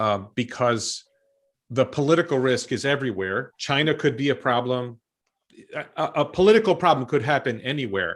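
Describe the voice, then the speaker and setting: In a New York accent, a man speaks at a moderate pace in a medium pitch with lively intonation against a quiet background. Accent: American (New York). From New York State, US. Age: 50s. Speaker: stock commentator. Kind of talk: interview.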